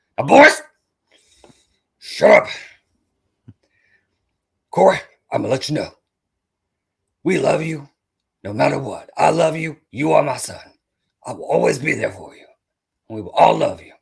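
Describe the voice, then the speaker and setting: A man does a raspy put-on character voice with big swings in loudness. He leaves long, frequent pauses. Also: moderate pace. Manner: stern, commanding, barking.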